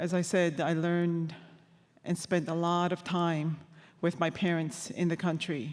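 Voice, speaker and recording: In a Quebec accent, the speaker talks at a fairly slow pace. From Labrador, Canada (Innu community). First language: Innu-aimun. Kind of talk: testimony. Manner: halting.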